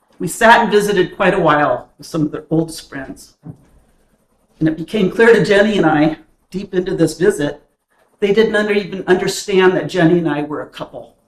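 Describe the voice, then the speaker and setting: At a fairly quick pace, a woman speaks in a normal speaking voice with a medium pitch. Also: ordinary pitch variation. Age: 60s. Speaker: church speaker. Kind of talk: personal remarks to a congregation. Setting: church.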